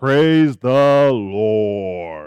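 A man bellows in a put-on character voice. His pitch is medium.

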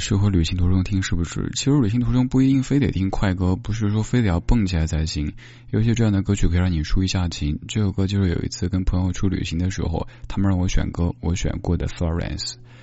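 Speaking at a very fast pace, a man with a very deep, low voice uses ordinary pitch variation. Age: 30s. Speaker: late-night radio host. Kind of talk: casual chat. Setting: hotel room remote broadcast.

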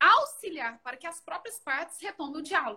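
Her voice raised and projected, a woman speaks with an extremely high pitch, a bright, sharp tone and lively intonation. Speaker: law professor, host. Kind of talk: interview.

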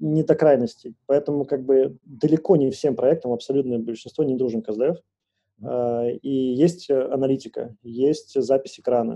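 Here a man speaks at medium pitch and a moderate pace. His tone is dark and mellow, with ordinary pitch variation. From Moscow, Russia. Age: 30s. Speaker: product manager at a bank. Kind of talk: casual interview chat.

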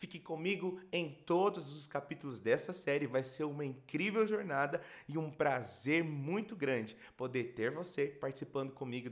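Using a normal speaking voice, a man talks with lively intonation at a fairly high pitch. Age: 30s. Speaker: pastor and worship leader. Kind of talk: podcast introduction monologue.

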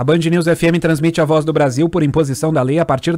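At a moderate pace, a man with a fairly high pitch speaks in a dark, mellow tone and fairly even intonation. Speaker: radio news reader. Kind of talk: news reading. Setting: radio studio.

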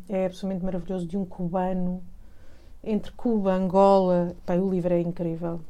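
Audible room echo carries a woman's dark, mellow voice at medium pitch and a fairly quick pace. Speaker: cultural journalist and broadcaster. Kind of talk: interview.

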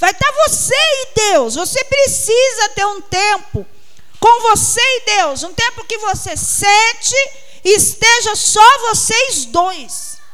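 Speaking at a very slow pace with lively intonation, this voice comes through over noticeable background noise. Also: woman, extremely high pitch for a woman. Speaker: preacher. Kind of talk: sermon, preacher in full flow, urging and pleading with the congregation. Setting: church. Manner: fervent, emphatic, repeating words for stress.

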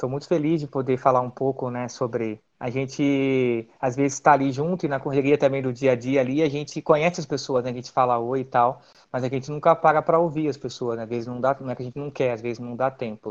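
Against a quiet background, a man talks fairly quickly in an ordinary speaking voice, medium in pitch, with fairly even intonation. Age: 30s. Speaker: dancer and physical education teacher. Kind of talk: casual interview.

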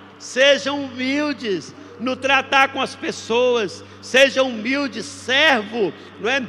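Over noticeable background noise, a man talks in a raised, projected voice at a very slow pace with fairly even intonation. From Brazil, interior of Minas Gerais. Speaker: pastor. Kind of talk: sermon. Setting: livestreamed church service. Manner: halting, many fillers.

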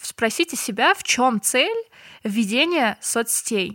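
A woman's fairly high, bright, sharp voice with lively intonation and a dry, close sound with no echo. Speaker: social media marketer. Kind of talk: casual chat.

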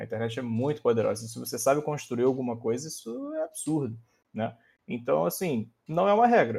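This man's pitch sits in the middle, and his voice is somewhat breathy. He speaks at a moderate pace with lively intonation. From interior of Rio de Janeiro state. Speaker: researcher and programming teacher. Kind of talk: casual chat.

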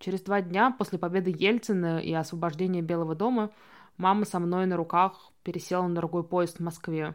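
At a fairly quick pace, a woman speaks with fairly low pitch and fairly even intonation. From Russia, Saint Petersburg. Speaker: documentary filmmaker. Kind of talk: casual chat; reading aloud. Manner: halting.

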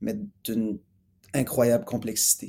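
A man speaks very slowly at a medium pitch. The recording is very clean, with a silent background. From Montreal, Quebec. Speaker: musician. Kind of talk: interview. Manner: halting.

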